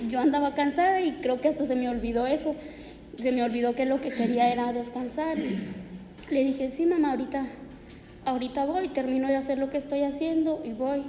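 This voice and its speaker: In a high pitch and fairly even intonation, a woman talks at a moderate pace against noticeable background noise. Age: 20s. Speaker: church member. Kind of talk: testimony. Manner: halting.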